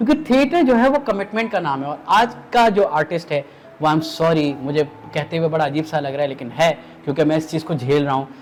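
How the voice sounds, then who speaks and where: Against noticeable background noise, a man with a fairly high pitch speaks with lively intonation. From Pakistan. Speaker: voice actor. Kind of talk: interview answer.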